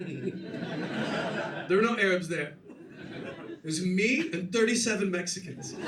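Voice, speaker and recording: A man with an American accent, high-pitched, at a very slow pace, with ordinary pitch variation, big swings in loudness and noticeable background noise. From USA. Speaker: standup comedian. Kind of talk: live standup comedy set.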